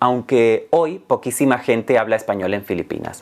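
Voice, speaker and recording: A man with a Canarian accent, at a moderate pace, with lively intonation. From Canary Islands. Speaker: Spanish teacher. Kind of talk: educational talk. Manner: clear, measured.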